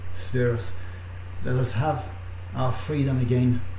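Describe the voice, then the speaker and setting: A man talks at a very slow pace with ordinary pitch variation. Audible room echo and light background noise surround his voice. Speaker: online minister leading prayer. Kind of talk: fervent intercessory prayer, addressing God directly. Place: home room. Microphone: webcam.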